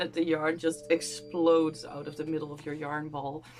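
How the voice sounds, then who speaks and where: Over music in the background, a woman with a very deep, low voice talks at a moderate pace in a monotone, flat intonation. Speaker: crochet YouTuber. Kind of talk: casual talk to camera.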